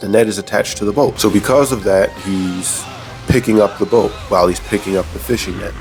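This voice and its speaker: Music plays behind speech delivered at a moderate pace. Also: man. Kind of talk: casual episode recap commentary. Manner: comedic, conversational.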